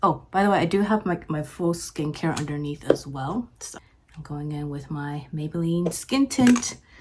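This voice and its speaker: At a moderate pace, a woman speaks in a fairly low voice. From Japan. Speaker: beauty vlogger. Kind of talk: casual chat while doing makeup. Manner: casual, many fillers and restarts.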